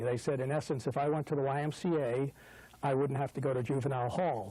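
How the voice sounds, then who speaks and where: Talking at a very fast pace with a New York accent, a man uses a fairly high pitch, a dark, mellow tone, and fairly even intonation. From New York City (Brooklyn). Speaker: business executive and trustee. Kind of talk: interview. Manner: hesitant, many filler words.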